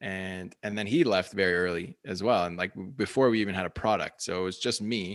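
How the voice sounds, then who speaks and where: In an ordinary speaking voice, the speaker talks at a fairly quick pace with fairly even intonation, captured on a very clean recording with a silent background. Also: man, fairly low pitch for a man. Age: 30s. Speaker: bone broth company founder. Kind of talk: interview. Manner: casual, filler-heavy.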